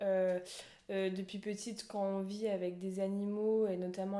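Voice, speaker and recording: Here a woman talks at medium pitch and a moderate pace. Her tone is dark and mellow, her intonation monotone and flat. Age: 20s. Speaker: horse rider sharing her story. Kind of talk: podcast interview. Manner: halting, many fillers.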